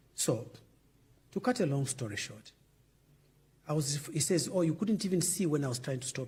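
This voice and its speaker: A somewhat breathy man with a dark, mellow tone and fairly high pitch speaks at a moderate pace with lively intonation, big swings in loudness, and long, frequent pauses. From Zambia. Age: 70s. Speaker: former politician. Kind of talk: interview.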